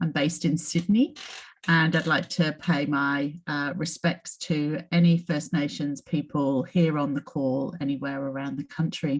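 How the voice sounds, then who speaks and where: A woman with a slight British accent speaks in a very deep, low pitch. Her intonation is fairly even and her pace fairly slow. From UK. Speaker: psychology professor. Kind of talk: informational talk. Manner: hesitant with fillers.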